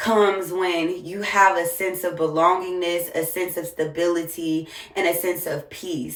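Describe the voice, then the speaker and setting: A woman with an American accent speaks at a medium pitch, with audible room echo and noticeable background noise. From US South, Jacksonville, Florida. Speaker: single mom content creator. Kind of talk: casual monologue vlog.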